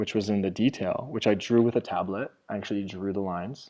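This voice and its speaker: Using a normal speaking voice, a man with a fairly low pitch speaks with fairly even intonation. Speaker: art course instructor. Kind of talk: tutorial. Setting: video call.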